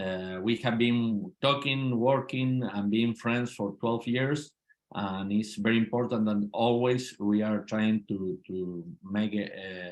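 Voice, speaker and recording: A man talks at a very slow pace in an Argentine accent. His pitch is fairly low and his intonation fairly even. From Argentina, Mendoza. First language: Spanish. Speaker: politician. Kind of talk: interview. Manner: halting, repeats words.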